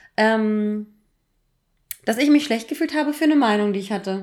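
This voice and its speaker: Her voice is an ordinary speaking voice, fairly high in pitch, with ordinary pitch variation at a moderate pace from a woman. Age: 30s. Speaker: podcast co-host. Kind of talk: casual chat.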